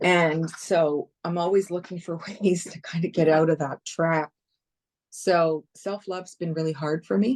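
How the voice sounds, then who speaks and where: A woman with a Canadian accent uses a plain, everyday voice, fairly low and fairly even, at a fairly slow pace in a dry, close sound with no echo. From Canada, Toronto. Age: 60s. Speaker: comedian and retired broadcast journalist. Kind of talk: casual chat.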